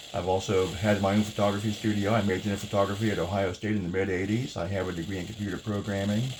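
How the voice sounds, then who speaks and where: Audible room echo surrounds a man with a fairly low pitch who talks at a very fast pace, with hardly any pauses and monotone, flat intonation. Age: 60s. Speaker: home cooking video host, navy veteran. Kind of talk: cooking tutorial. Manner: casual, chatty.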